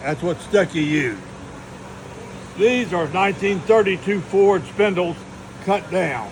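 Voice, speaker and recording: Lively intonation marks a man's high-pitched voice over noticeable background noise. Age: 80s+. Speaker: retired drag racer. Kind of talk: shop tour explanation.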